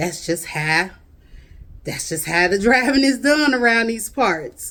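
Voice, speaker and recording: A woman with a fairly high pitch speaks at a fairly slow pace. Her tone is animated and her intonation lively. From Chicago, US Midwest. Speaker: video blogger. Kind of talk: casual chat. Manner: drawls, drags words.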